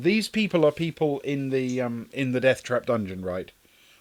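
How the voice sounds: A natural reading voice full of lively intonation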